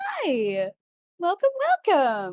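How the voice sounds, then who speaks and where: A female-sounding voice in a put-on character voice sits high in pitch and swings very widely. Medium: actual play. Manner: cheerful, coy, theatrical.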